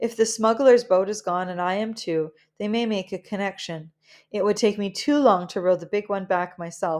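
This is a natural reading voice with ordinary pitch variation over a quiet background.

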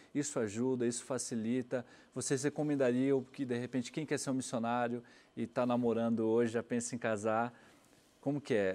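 A man's voice of medium pitch, dark and mellow in tone, at a fairly quick pace with very even loudness. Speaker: TV program host. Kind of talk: interview. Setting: studio. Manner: animated. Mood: friendly, curious. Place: studio. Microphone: lapel.

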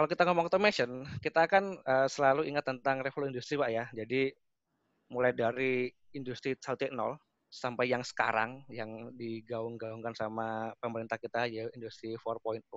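A man speaks at a moderate pace with a medium pitch and ordinary pitch variation. The background is quiet, and the sound is dry with no echo. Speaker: automation technical expert, webinar speaker; webinar speaker. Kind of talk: webinar presentation. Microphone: connection dropped; video call.

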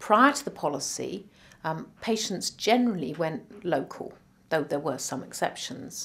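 This woman's pitch is fairly low and swings very widely. She talks at a moderate pace. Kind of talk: interview answer. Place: office.

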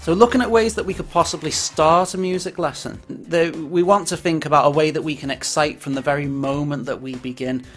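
Faint music plays in the background as a man talks at a fairly quick pace. His pitch varies in an ordinary way. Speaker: music teacher presenting. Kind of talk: lecture. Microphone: webcam.

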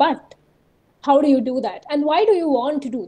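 This woman has a high pitch, a dark, mellow tone and a fairly slow pace, speaking with an Indian accent. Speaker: researcher and science communicator; webinar presenter. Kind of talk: webinar presentation. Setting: video call. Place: home room. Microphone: webcam.

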